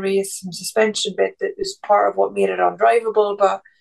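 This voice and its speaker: A woman speaks with an Irish accent. Her pace is fairly quick. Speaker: F1 pundit and former race strategist. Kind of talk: casual chat.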